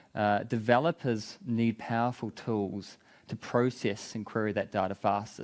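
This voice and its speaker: This man has a strong New Zealand accent. His pitch is fairly low. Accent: thick New Zealand. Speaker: tech company business development lead. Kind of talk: conference talk.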